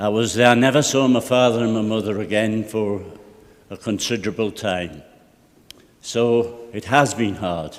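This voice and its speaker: A man with a Geordie accent speaks at a moderate pace in a medium pitch, his intonation fairly even, with audible room echo. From North East England (Tyneside, North Shields). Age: 60s. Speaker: local councillor. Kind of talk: formal speech at council meeting.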